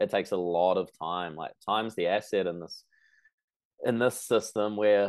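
Speaking at a fairly quick pace, a man with a New Zealand accent uses a fairly low pitch. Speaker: personal trainer. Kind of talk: interview.

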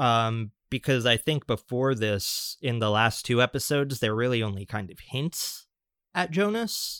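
An ordinary speaking voice at a fairly slow pace, ordinary pitch variation, a very clean recording with a silent background, dry, close sound with no echo. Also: man, medium pitch for a man. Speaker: podcast co-host. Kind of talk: casual chat.

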